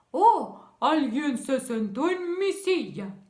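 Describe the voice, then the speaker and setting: A put-on character voice at a high pitch swings very widely and moves at a very slow pace. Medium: read story.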